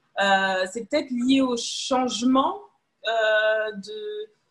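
Somewhat breathy and fairly high-pitched, a woman speaks at a very slow pace with ordinary pitch variation. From Paris region, France. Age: 20s. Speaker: podcast guest sharing personal story. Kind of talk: casual interview. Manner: hesitant.

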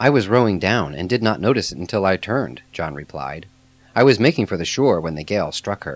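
A natural voice reads with lively intonation.

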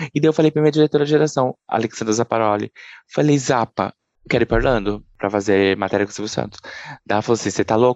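The background stays quiet. He speaks very fast. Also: dry, close sound with no echo. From Brazil, southern Minas Gerais. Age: 30s. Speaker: journalist. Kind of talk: interview.

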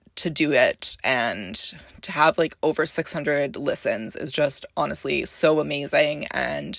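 A woman with a Canadian accent, lively intonation and vocal fry, in a dry, close sound with no echo. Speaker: podcast host. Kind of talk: casual solo podcast chat.

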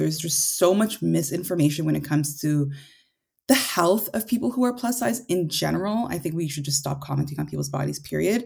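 With a Canadian accent, a woman speaks in a very deep, low pitch with vocal fry and lively intonation, recorded very cleanly against a silent background. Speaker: content creator. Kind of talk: interview.

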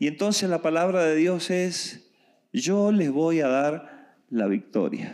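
Lively intonation marks a man's speech, delivered at a very slow pace. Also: very clean recording, silent background. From Argentina. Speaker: preacher. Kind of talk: sermon.

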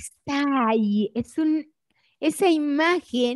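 A woman with a high-pitched voice talks at a very slow pace. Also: dry, close sound with no echo. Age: 60s. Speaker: educator and systemic pedagogy author. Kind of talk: interview.

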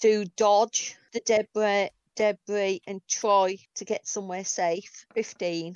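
A woman's medium-pitched voice, very slow and monotone with flat intonation. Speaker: tabletop game player. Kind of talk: role-playing game actual play.

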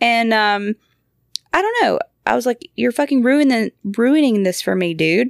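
In an American accent, an ordinary speaking voice moves at a moderate pace with lively intonation and very even loudness, in a dry, close sound with no echo. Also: woman, fairly high pitch for a woman. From Georgia, US. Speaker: podcast host, mother. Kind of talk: casual chat.

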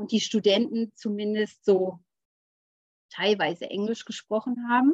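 Fairly high-pitched, somewhat breathy female voice at a fairly slow pace, dry and close with no echo. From rural Germany. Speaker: business coach. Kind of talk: interview.

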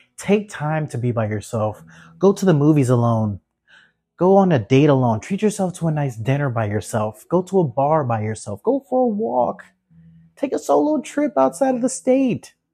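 A man's fairly high, somewhat breathy voice with a dark, mellow tone, very wide pitch swings, and a moderate pace over a quiet background. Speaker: podcast host. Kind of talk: solo pep talk, guided-meditation-style close-your-eyes moment.

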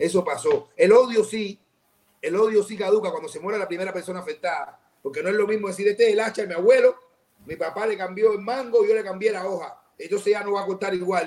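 This man talks at a very fast pace with a high pitch, his loudness swinging widely. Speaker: actor in a film about political prisoners. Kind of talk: casual interview discussion. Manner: animated, emphatic.

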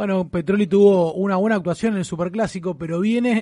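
A man speaks with a dark, mellow tone. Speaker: football fan radio co-host. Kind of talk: casual sports talk radio; quiz hosting. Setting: studio.

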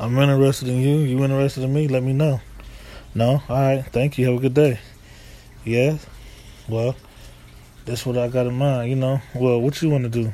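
In an American accent, a man talks at a moderate pace and medium pitch, his tone dark and mellow and his intonation monotone and flat. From US East Coast / Midwest. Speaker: vlogger. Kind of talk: casual monologue storytelling.

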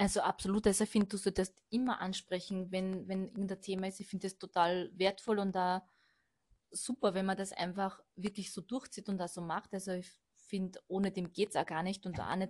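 A woman with a Burgenland accent speaks at a fairly quick pace in a medium, somewhat breathy voice. Her intonation stays flat and monotone. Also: quiet background. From Austria, Burgenland. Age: 30s. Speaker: manager at a stairlift company. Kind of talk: casual chat.

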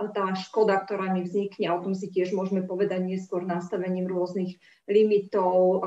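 A dark, mellow tone with monotone, flat intonation at a moderate pace. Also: woman. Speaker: bank director. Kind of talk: panel discussion.

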